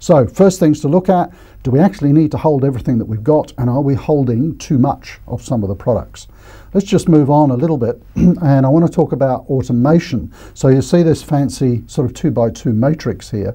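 A man talks at a fairly quick pace in a dark, mellow, somewhat breathy voice. The background is quiet. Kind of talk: educational presentation. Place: studio. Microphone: lapel.

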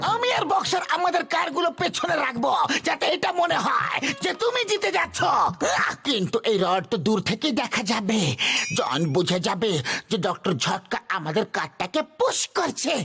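Over music in the background, a man does a cartoonish character voice at an extremely high pitch with very wide pitch swings and a moderate pace.

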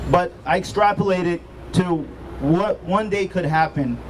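A man's high, animated voice at a moderate pace, with ordinary pitch variation and noticeable background noise. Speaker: physician and state chapter president, rally speaker. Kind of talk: rally speech. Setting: outdoor rally with crowd. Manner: animated, oratorical; rhetorical, emphatic. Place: street. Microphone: handheld.

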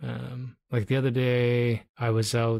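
A man with a Canadian accent, an unremarkable speaking voice, medium pitch and fairly even intonation. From Toronto, Canada. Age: middle-aged. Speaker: podcast host, photographer. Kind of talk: casual chat.

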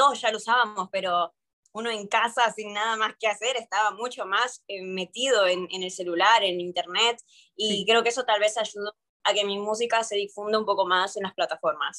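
The tone is bright and sharp, with fairly even intonation. The pace is moderate against a quiet background. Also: woman. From mixed, born in Peru, long in Argentina. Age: 20s. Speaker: urban music singer; interviewee. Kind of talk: interview. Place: home room. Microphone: video call.

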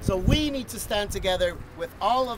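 An energetic man's voice, dry with no echo, over loud background noise. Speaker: rally speaker, worker coalition representative. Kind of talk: rally speech. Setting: outdoor rally with crowd. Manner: earnest, rallying, energetic; fluent with some filler 'uh'. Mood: passionate, rousing. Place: open country. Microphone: phone near.

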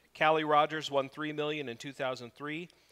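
This is a man's voice. His tone is bright and sharp. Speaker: preacher. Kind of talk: sermon. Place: church.

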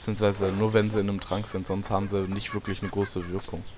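Fairly quick in pace, a man speaks at a fairly low pitch. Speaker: gaming video creator. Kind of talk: let's play commentary. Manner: quiet at times; animated, exclamatory.

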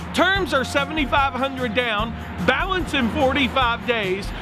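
Over noticeable background noise, a man speaks at a moderate pace with an extremely high pitch. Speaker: auctioneer and real estate broker. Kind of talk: promotional auction announcement to camera. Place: street.

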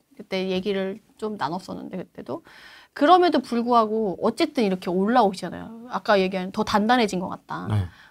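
Over a quiet background, a woman talks at a fairly quick pace with lively intonation and big swings in loudness. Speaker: real estate investment expert; guest. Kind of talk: interview answer. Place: studio. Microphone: lapel.

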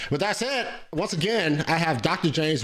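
Speaking fairly slowly with lively intonation, a man uses a fairly high pitch over a quiet background. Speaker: podcast host. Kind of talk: interview. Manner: casual, filler-heavy. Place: studio. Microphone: studio mic.

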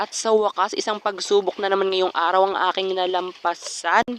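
Noticeable background noise surrounds talking delivered at a moderate pace. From Philippines, rural mountain barangay. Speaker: vlogger. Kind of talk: vlog voiceover narration. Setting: outdoors, mountain trail in rain. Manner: playful, animated.

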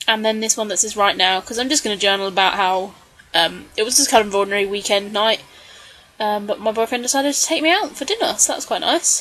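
Over noticeable background noise, a woman speaks very fast in a fairly high pitch. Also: ordinary pitch variation. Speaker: scrapbooking video creator. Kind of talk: tutorial voiceover. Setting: home craft desk. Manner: hesitant, frequent ums.

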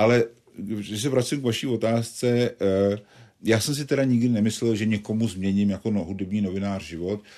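A man at medium pitch and moderate pace, with ordinary pitch variation and a quiet background. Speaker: journalist and satirist. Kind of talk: interview. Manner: halting.

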